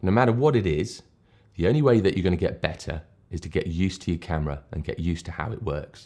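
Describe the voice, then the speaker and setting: A man with a very deep, low pitch, dark, mellow tone and a British accent, very fast pace and lively intonation. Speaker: photography tutorial maker. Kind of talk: casual talk to camera.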